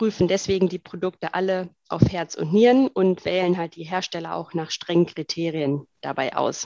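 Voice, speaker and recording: Heard dry and close with no echo, a woman with an unremarkable speaking voice talks at a moderate pace and medium pitch, with ordinary pitch variation. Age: 30s. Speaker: co-founder of a sustainable online shop. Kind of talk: interview.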